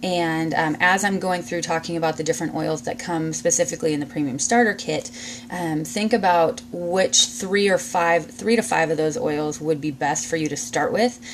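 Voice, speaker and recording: Over noticeable background noise, a woman with a fairly low pitch speaks at a moderate pace with lively intonation and hardly any pauses. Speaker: essential oils seller and class teacher. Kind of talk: live-streamed informal class. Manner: hesitant, many fillers.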